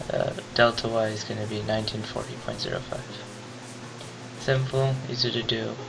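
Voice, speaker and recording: A man talks at a moderate pace, leaving long, frequent pauses. Music plays in the background, and the room echo is audible. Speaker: physics teacher. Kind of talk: tutorial. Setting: webcam recording. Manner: whispery.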